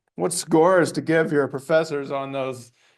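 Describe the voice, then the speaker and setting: American accent from a man, delivered at a fairly slow pace. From US, Montana. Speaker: anthropology professor. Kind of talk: lecture.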